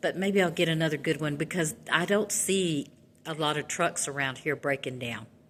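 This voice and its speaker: Very deep, low female speech with ordinary pitch variation. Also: moderate pace. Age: 60s. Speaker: truck driver. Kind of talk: casual vlog monologue.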